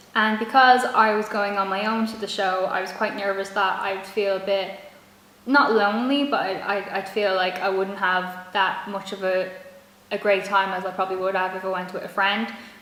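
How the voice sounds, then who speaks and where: A woman with a Dublin accent speaks at medium pitch and a moderate pace. Her intonation is monotone and flat, with noticeable background noise behind her. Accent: Irish (Dublin). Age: young. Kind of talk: casual talk to camera.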